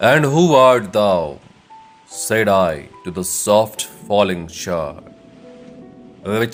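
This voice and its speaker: With music in the background, a man speaks at a very slow pace in a fairly low pitch, his tone calm and soothing and his intonation lively. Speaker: English teacher and poetry reciter. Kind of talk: poetry reading. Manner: calm, soothing.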